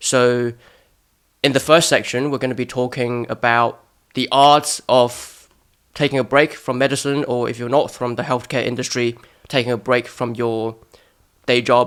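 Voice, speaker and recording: A man with a British accent speaks at a moderate pace and a medium pitch, his intonation flat and monotone, with long pauses coming often. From Hong Kong. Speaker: podcast host, medical student. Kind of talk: casual interview.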